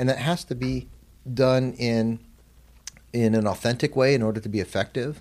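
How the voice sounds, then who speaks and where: A man speaks at a moderate pace in a normal speaking voice, with medium pitch and ordinary pitch variation. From Arizona, US. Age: 40s. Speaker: president of an Islamic graduate college. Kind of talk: interview.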